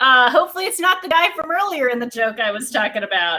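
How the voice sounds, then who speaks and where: A woman speaks in a raised, projected voice with very wide pitch swings. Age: 20s. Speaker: stand-up comedian. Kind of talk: stand-up.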